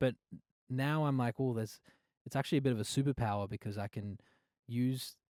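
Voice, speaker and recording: Recorded very cleanly with a silent background and a dry, close sound with no echo, a man with an Australian accent and medium pitch talks at a fairly quick pace with fairly even intonation and long, frequent pauses. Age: 20s. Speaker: singer-songwriter. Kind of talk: casual interview. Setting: studio couch.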